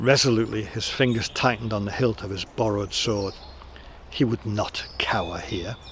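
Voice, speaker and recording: With noticeable background noise, a man of fairly low pitch talks at a moderate pace with ordinary pitch variation. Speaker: storyteller, audiobook reader. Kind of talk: audiobook reading of a historical novel, storytelling.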